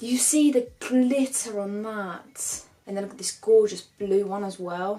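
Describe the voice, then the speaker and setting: With music playing in the background, a woman with a British accent talks at a medium pitch with ordinary pitch variation. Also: fairly slow pace, big swings in loudness. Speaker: beauty YouTuber. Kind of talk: makeup tutorial and product review. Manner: animated.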